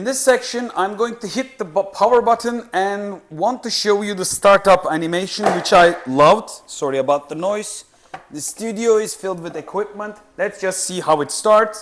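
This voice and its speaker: Speaking with a non-native accent over noticeable background noise, a man uses a high pitch and ordinary pitch variation. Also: moderate pace. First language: not English. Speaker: tech reviewer. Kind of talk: product review tutorial. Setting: studio. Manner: halting.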